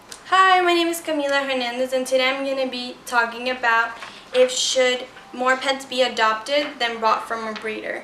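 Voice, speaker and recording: A woman projects a raised, high-pitched voice at a moderate pace with ordinary pitch variation. Audible room echo and noticeable background noise come through. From Ecuador. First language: Spanish. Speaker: student. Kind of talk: persuasive speech.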